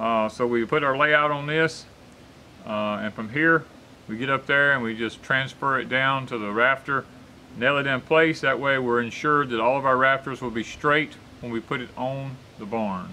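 A man of medium pitch at a moderate pace, bright and sharp in tone, with ordinary pitch variation

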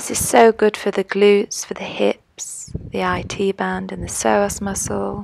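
A woman speaks at a very slow pace. The sound is dry with no echo, over light background noise. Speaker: yoga instructor. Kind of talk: yoga instruction.

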